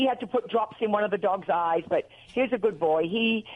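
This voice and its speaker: With an American accent, a woman speaks in a fairly high, animated voice with ordinary pitch variation. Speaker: animal lover, radio guest. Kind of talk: casual chat. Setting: phone call.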